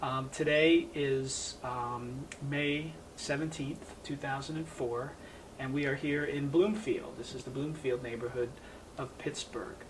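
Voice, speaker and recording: Over noticeable background noise, a man speaks at a very slow pace. His voice is fairly high, with fairly even intonation. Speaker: oral history interviewer. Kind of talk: interview questions.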